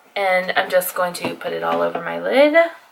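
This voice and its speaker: A woman with an American accent. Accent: southern accent, comes out on some words. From Texas. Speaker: beauty vlogger. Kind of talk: casual chat while doing makeup. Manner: casual, hesitant with fillers.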